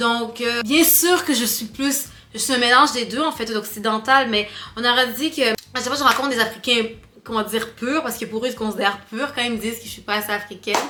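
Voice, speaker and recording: A woman's fairly high voice at a fairly quick pace, ordinary pitch variation, and noticeable background noise behind her. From Quebec, Canada (Rwandan-born, arrived at 8). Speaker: vlogger. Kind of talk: casual chat to camera. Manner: careful standard French on camera.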